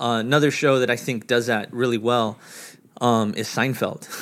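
A man with an American accent speaks at a moderate pace in a medium pitch, his intonation monotone and flat. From New York. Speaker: podcast guest. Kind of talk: casual chat.

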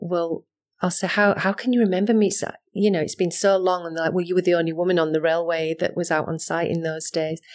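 Against a quiet background, a woman speaks in a fairly low pitch with monotone, flat intonation. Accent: Yorkshire. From West Yorkshire, Halifax. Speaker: rail industry manager. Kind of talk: interview. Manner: hesitant, many fillers.

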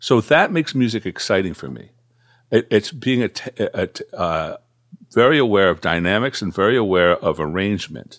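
Lively intonation and a fairly low pitch shape a man's unremarkable speaking voice at a moderate pace, recorded very cleanly against a silent background with a dry, close sound and no echo. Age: 60s. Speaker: guitarist and music producer. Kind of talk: casual interview.

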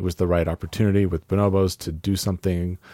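On a very clean recording with a silent background and a dry, close sound with no echo, a man with an American accent speaks in a very deep, low pitch, his tone dark and mellow and his intonation monotone and flat. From California. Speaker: retail executive. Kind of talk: casual chat.

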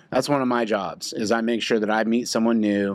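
With an American accent, a man speaks at a moderate pace and fairly even intonation. The recording is very clean, the background silent. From Oklahoma. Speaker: insurance professional, former Marine. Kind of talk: casual interview chat. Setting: studio/office.

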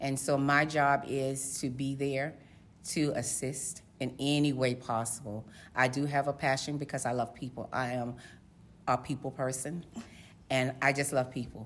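In an American accent, a woman with a very deep, low voice speaks at a moderate pace in a flat monotone, with audible room echo. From Virginia, Portsmouth (Tidewater). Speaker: code enforcement official. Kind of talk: interview. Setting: at a conference.

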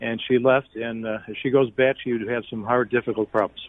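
A man has a normal speaking voice at a medium pitch. He talks at a fairly quick pace. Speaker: caller. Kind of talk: call-in. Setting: phone call on speaker.

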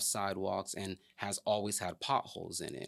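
At a moderate pace, a man with an American accent speaks at a fairly low pitch. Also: very clean recording, silent background. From Miami, Florida, then Atlanta area. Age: 30s. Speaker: political candidate. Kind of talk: interview. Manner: hesitant, many fillers.

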